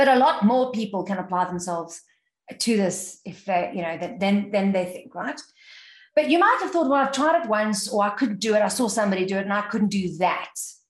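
A woman's somewhat breathy voice at a fairly quick pace, with lively intonation. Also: medium pitch for a woman. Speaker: sales trainer and keynote speaker. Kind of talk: interview.

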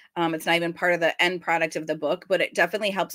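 A woman with a fairly low pitch and a bright, sharp tone speaks at a very fast pace. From New York City. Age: 40s. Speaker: horror writer. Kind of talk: interview. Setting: video call.

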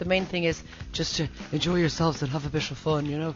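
Over noticeable background noise, a woman with an Irish accent speaks at a fairly low pitch. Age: 40s. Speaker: radio host. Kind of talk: breakfast radio banter.

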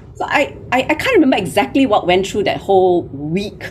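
A woman speaks over noticeable background noise. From Malaysia. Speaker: recruiter and founder. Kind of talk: interview.

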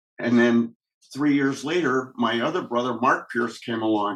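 The voice carries a Midwestern US accent with fairly even intonation. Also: man. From Michigan, Kalamazoo. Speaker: police officer. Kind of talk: testimony.

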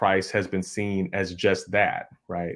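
A man with a very deep, low pitch speaks at a fairly slow pace in a monotone, flat intonation, on a very clean recording with a silent background. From US Midwest, suburban Chicago. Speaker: history professor. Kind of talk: interview, academic explanation. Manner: hesitant, many fillers (um, right?).

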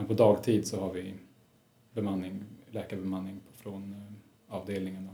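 At a moderate pace, a man speaks with a fairly low pitch and monotone, flat intonation, leaving long, frequent pauses amid audible room echo. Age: 30s. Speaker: resident doctor in psychiatry. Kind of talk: interview.

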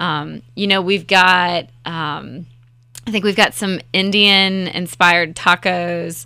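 Speaking very slowly, a woman delivers a flat monotone in a fairly low voice with a bright, sharp tone. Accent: slight Southern US. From Raleigh, North Carolina. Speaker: festival co-founder. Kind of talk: casual interview chat.

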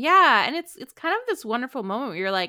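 Her pitch high and swinging very widely, a woman speaks on a very clean recording with a silent background. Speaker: podcast co-host. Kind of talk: casual chat.

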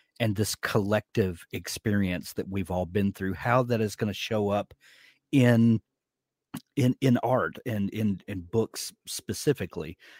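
In a very clean recording with a silent background and a dry, close sound with no echo, a man with a Southern US accent speaks very slowly at a fairly low pitch with ordinary pitch variation. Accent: Southern US drawl. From US South. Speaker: podcast host. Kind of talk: casual interview chat.

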